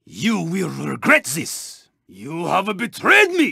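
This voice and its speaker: A man performs a put-on character voice. He speaks at a very slow pace. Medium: video game. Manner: formal, clipped, dropping articles.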